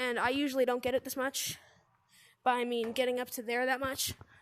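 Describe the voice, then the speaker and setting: The woman's pitch is high. She talks at a moderate pace. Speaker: gaming youtuber. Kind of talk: gameplay tutorial. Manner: casual, hesitant with fillers.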